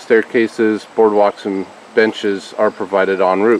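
Over light background noise, a man with an unremarkable speaking voice talks at a fairly low pitch with fairly even intonation. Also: dry sound with no echo. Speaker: family vlogger. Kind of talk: casual vlog chat. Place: forest. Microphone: phone near.

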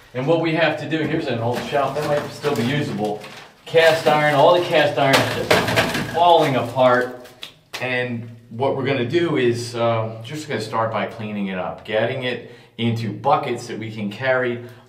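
Noticeable background noise sits behind this man. His pitch variation is ordinary. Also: moderate pace. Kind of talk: casual vlog chat. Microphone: phone near.

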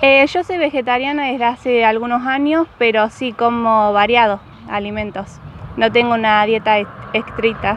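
Moderate pace and ordinary pitch variation, with a dry, echo-free sound and light background noise. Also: woman. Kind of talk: interview answer. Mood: calm, slightly shy. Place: street.

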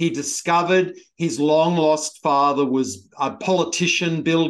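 The speaker has an Australian accent. The background is quiet. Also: man. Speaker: TV podcast host. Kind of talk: interview. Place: home room. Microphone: webcam.

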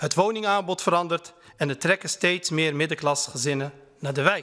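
Against a quiet background, a man with a bright, sharp tone talks at a moderate pace and with lively intonation. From Netherlands, Utrecht (Kanaleneiland); Netherlands. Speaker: member of parliament. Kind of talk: parliamentary speech. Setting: parliament chamber. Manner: formal. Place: hall. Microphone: podium.

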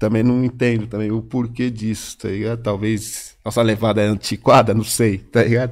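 A man's medium-pitched voice, monotone and flat, at a moderate pace with hardly any pauses. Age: 50s. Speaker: rapper. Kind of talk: casual chat.

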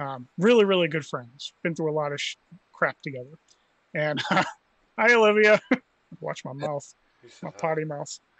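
In a dry recording with no echo, a man talks at a moderate pace with lively intonation, big swings in loudness and long, frequent pauses. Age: 40s. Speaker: podcast co-host. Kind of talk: casual chat. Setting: remote call. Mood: friendly, joking. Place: home room. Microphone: video call.

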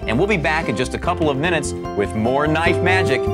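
A man at a fairly quick pace over loud music in the background. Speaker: TV host. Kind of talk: infomercial host. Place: studio. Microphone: lapel.

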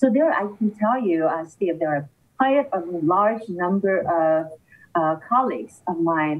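Here is a plain, everyday voice. A woman talks at a fairly slow pace. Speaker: politician, remote guest. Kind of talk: interview answer. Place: office. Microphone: video call.

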